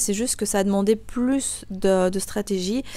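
A woman has an unremarkable speaking voice at a medium pitch. She talks at a moderate pace with fairly even intonation. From Belgium. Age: 20s. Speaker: real estate investor and coach. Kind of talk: interview.

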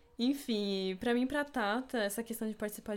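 A woman has an ordinary speaking voice. She talks at a moderate pace with ordinary pitch variation. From São Paulo city, Brazil. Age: 20s. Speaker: podcast co-host, architecture student. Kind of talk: casual chat.

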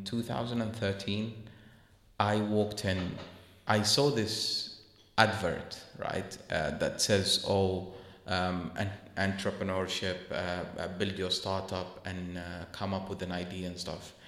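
A man talks at a very slow pace with a fairly low pitch. His intonation stays fairly even. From UAE, then London from early teens. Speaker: entrepreneur. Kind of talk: interview. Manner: halting.

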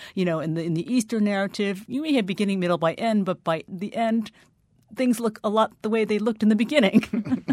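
With an unremarkable speaking voice, a woman talks at a fairly quick pace. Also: medium pitch for a woman, ordinary pitch variation. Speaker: novelist. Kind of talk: radio interview. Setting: radio studio.

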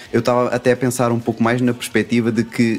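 A man talks with a European Portuguese accent. Noticeable background noise is present. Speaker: podcast panelist. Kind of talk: casual chat.

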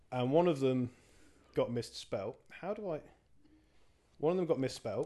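Here a man speaks with an English accent. He keeps a moderate pace. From England. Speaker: podcast co-host. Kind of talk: casual chat. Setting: home recording.

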